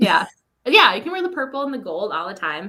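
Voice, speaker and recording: Bright and sharp in tone, a woman with a Minnesotan accent speaks at a fairly high pitch with very wide pitch swings. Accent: Minnesota. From Minnesota, US Midwest. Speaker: author guest. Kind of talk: casual chat.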